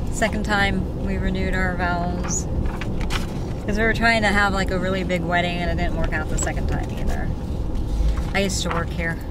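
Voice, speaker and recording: Against loud background noise, a woman talks at a fairly quick pace in a dry sound with no echo. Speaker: vlogger. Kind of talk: casual vlog chat. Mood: indignant, exasperated. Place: car.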